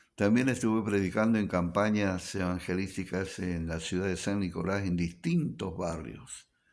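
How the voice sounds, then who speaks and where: This very clean recording has a silent background. A man with a fairly low pitch speaks at a very slow pace. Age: 70s. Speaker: pastor. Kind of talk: radio talk, personal testimony.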